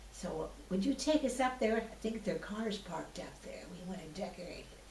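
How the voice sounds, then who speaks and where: A woman's medium-pitched voice with an American accent, lively intonation and big swings in loudness at a moderate pace, over noticeable background noise. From US Pacific Northwest. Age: 80s+. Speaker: oral history interviewee. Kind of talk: oral history interview.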